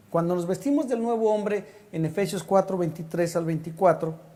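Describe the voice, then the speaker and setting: Audible room echo and noticeable background noise surround speech delivered at a fairly quick pace. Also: man. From Mexico City. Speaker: pastor. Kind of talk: sermon.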